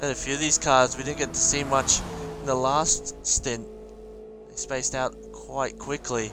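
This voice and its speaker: Music plays in the background as someone with an Australian accent talks at a moderate pace. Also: man. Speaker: sim racing league commentator and streamer. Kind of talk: live commentary. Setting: live stream. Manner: animated.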